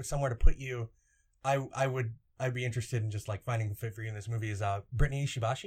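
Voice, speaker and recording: Speaking at a very fast pace, a man with a medium pitch and somewhat breathy voice shows ordinary pitch variation. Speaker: podcast host. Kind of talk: casual chat.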